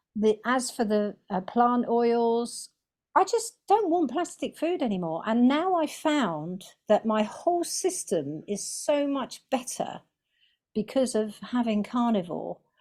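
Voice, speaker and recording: Speaking at a very slow pace in a southern English accent, a woman uses a high pitch with very wide swings, on a very clean recording with a silent background. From England. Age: 60s. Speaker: carnivore diet vlogger. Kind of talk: interview testimony.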